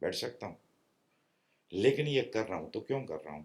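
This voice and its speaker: A man speaks at a moderate pace with a medium pitch. His voice carries vocal fry. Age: 60s. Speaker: spiritual teacher. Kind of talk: spiritual discourse. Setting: meditation retreat with small audience.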